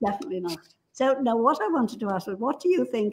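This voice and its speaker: A woman with an English accent speaks in a somewhat breathy voice. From England. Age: 80s+. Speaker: talk show co-host. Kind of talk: interview.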